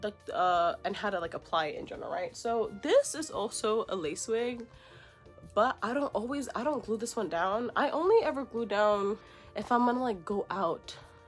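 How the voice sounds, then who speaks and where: A woman speaks with lively intonation at a fairly high pitch. Her pace is moderate, with music in the background. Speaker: beauty vlogger. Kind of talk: tutorial. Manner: casual.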